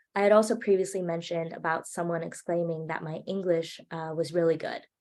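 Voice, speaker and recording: In a Hawaiian accent, a woman with a fairly low pitch speaks at a fairly quick pace and fairly even intonation. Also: big swings in loudness. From Hawaii, Maui. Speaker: student filmmaker speaker. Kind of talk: presentation talk.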